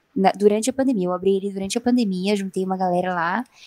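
In an ordinary speaking voice, a woman of medium pitch speaks with ordinary pitch variation, the sound dry and close with no echo. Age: 20s. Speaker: podcast co-host and illustrator. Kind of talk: casual chat.

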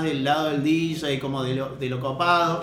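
Over noticeable background noise and audible room echo, a man talks at a moderate pace in a fairly high pitch with monotone, flat intonation. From Argentina, La Rioja. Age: 30s. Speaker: DJ and cultural organizer. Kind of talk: casual chat.

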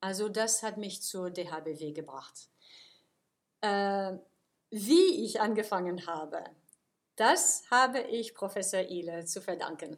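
The speech comes at a very slow pace with ordinary pitch variation and big swings in loudness, in a very clean recording with a silent background. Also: woman, medium pitch for a woman. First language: English and French (speaking German). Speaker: university lecturer. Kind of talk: interview. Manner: hesitant, many filler sounds.

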